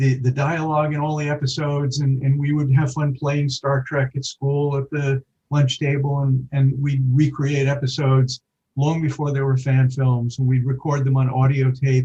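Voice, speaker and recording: Somewhat breathy, a man speaks in an American accent with monotone, flat intonation. His pace is moderate. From New York. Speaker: writer. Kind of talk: interview.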